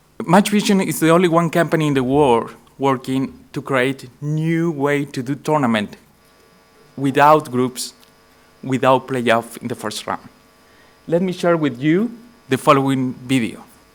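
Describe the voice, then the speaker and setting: With a Spanish accent, a man talks at a fairly slow pace and a fairly high pitch, with ordinary pitch variation and long, frequent pauses. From Chile. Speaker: tech company CEO. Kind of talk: conference presentation. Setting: conference stage with audience.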